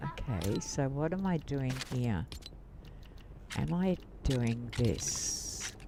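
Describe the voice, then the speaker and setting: Speaking very slowly with long, frequent pauses, a man of medium pitch with an Australian accent shows very wide pitch swings at very even loudness, over noticeable background noise. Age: 70s. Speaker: gaming streamer. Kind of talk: casual live-stream gaming commentary.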